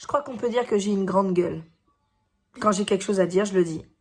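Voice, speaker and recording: With music in the background, a woman at a medium pitch speaks with fairly even intonation. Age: 40s. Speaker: teacher and YouTuber. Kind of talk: personal vlog monologue. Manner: loud; hesitant fillers.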